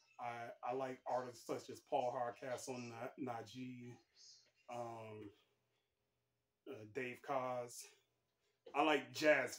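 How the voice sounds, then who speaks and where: A man's medium-pitched voice with an American accent and flat, monotone intonation. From Texas, Houston area. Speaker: sports writer and vlogger. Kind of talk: casual vlog introduction. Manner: halting, many repeated words.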